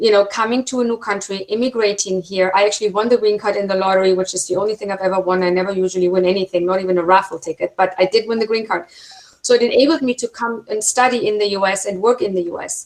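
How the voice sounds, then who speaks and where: A woman with a German accent talks at a very fast pace, her medium-pitched voice fairly even in intonation. Noticeable background noise runs through the clip. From Germany. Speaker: film producer and university instructor. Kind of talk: webinar talk.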